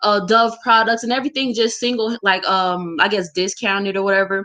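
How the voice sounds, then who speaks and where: Loud and bright, with a sharp tone, a woman speaks at a fairly quick pace with ordinary pitch variation. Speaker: alumna, town hall speaker. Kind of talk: town hall discussion. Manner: fast.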